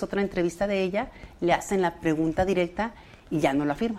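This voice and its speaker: A woman with an ordinary speaking voice talks at a medium pitch and fairly quick pace, with ordinary pitch variation. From Mexico, Ciudad Juárez. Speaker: childcare center advocate. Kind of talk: interview.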